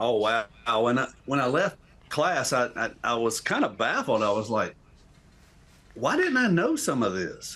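A man with a North Carolina accent, fairly slow pace and very even loudness. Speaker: graduate and civics teacher. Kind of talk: panel discussion. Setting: video call.

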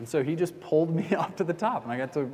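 Audible room echo surrounds speech that moves at a fairly quick pace with lively intonation. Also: man. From US South, Atlanta. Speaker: pastor. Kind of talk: sermon.

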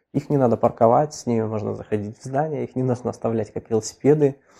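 At a very fast pace, a man with a medium pitch and a dark, mellow tone talks with ordinary pitch variation. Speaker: software developer. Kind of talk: interview.

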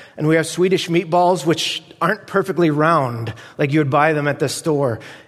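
A man talks at a fairly high pitch. Background noise is noticeable. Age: 40s. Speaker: guest preacher. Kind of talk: sermon.

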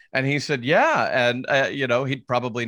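On a very clean recording with a silent background, a man with an American accent speaks at a fairly quick pace in a plain, everyday voice, at medium pitch with ordinary pitch variation. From US South, Nashville, Tennessee. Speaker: real estate agent and investor. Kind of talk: interview.

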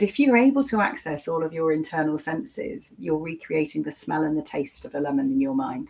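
With a very deep, low pitch and very wide pitch swings, a woman talks at a fairly quick pace with hardly any pauses. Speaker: coach and speaker. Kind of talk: guided visualisation; casual interview.

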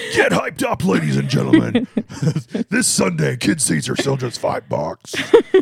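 With faint music in the background, a man performs a put-on character voice at a moderate pace. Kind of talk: advertising announcer. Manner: loud, hyped up.

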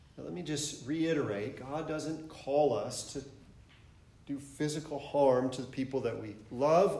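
In an American accent, a man with a fairly high voice speaks at a fairly slow pace. His pitch varies in an ordinary way, and room echo is audible. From Michigan. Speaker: pastor. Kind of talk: sermon. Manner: halting.

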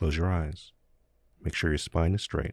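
Very deep and low, a man's somewhat breathy voice moves at a fairly slow pace in a very clean recording with a silent background. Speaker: podcast host. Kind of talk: guided meditation.

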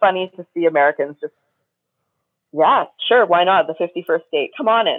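A plain, everyday voice from a woman with a Canadian accent, medium pitch, lively intonation and a fairly quick pace. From Canada, Windsor, Ontario. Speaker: filmmaker. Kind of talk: casual interview.

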